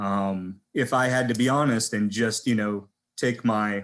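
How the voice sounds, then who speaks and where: Against a quiet background, a man with an American accent and a normal speaking voice talks at a medium pitch with fairly even intonation. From southern California. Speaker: physician. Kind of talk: panel presentation.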